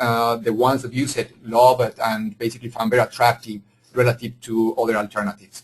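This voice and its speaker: A man with a Spanish accent, medium in pitch, at a fairly quick pace. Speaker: engineering executive. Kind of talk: webinar presentation. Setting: webinar. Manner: halting, frequent fillers.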